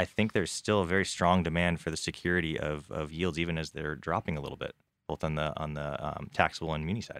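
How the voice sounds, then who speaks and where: A man speaks very fast in a very deep, low voice with fairly even intonation, on a very clean recording with a silent background. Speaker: investment committee member. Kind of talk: casual market discussion.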